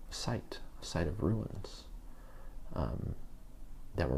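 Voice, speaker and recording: In a whisper, a man speaks with a relaxed tone. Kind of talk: ASMR show and tell, soft-spoken relaxation talk. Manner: soft-spoken, slow, relaxed.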